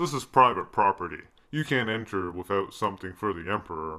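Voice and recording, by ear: A man uses a cartoonish character voice with a fairly low pitch. He talks fairly quickly on a very clean recording with a silent background.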